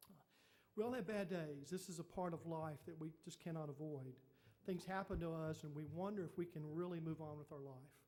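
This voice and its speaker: Talking very fast, a man uses a fairly high voice with a dark, mellow tone and fairly even intonation. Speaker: pastor. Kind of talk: sermon.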